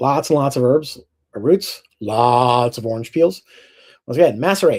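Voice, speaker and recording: Over a silent background in a very clean recording, a man talks with lively intonation. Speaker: distiller. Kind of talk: lecture. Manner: fast.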